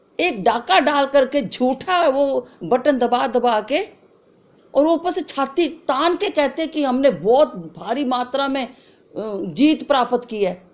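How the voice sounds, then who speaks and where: High pitch and lively intonation from a woman. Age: 70s. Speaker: concerned citizen. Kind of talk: video appeal. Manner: emotional, repetitive pleading; halting, with fillers.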